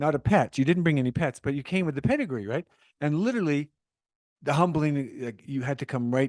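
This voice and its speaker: An ordinary speaking voice with a Canadian accent moves at a fairly quick pace with ordinary pitch variation, recorded with a dry, close sound with no echo. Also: man, fairly high pitch for a man. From Calgary, Canada. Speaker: podcast host. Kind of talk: podcast interview.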